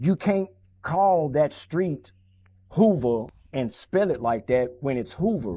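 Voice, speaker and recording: Very slow and somewhat breathy, the speaker talks with an American accent and very wide pitch swings. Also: man, fairly high pitch for a man. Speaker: former gang member. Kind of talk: interview. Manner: casual, street slang.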